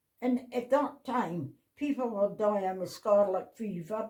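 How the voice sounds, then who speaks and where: With a northeast Scottish accent, a woman speaks at a fairly slow pace. Her voice is fairly high in pitch, with lively intonation. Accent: Doric. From North East Scotland, Sandend / Portsoy. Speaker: family elder recalling village life. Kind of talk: casual interview chat.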